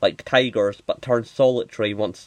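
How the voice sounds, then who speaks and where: Mumbling at a fairly slow pace, a man comes through in a dry, close sound with no echo. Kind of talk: unscripted commentary to camera. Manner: mumbly; hesitant, many filler words.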